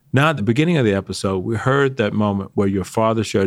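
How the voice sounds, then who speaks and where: Lively intonation marks this man's fairly low pitch. He speaks at a very fast pace with an American accent. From Atlanta, Georgia, US. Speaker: podcast co-host, retired army general. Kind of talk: interview.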